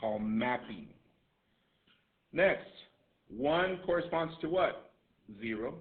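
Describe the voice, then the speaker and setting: In audible room echo, a loud man with a high pitch and very wide pitch swings speaks at a very slow pace with long, frequent pauses. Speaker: math teacher. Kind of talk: classroom lecture. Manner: repetitive, emphatic.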